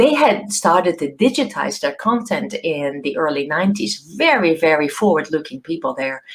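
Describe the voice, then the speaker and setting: A woman's fairly low voice in a Dutch accent, with very wide pitch swings, a moderate pace and hardly any pauses. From Netherlands, small village. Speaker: professor. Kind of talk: keynote talk to students. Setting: video call. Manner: hesitant, many fillers and repeats.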